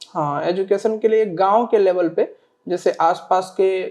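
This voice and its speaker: A man talks with fairly even intonation. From Bihar, Sitamarhi district village. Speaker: civil service exam topper. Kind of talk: interview. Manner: hesitant, many fillers; polite, formal.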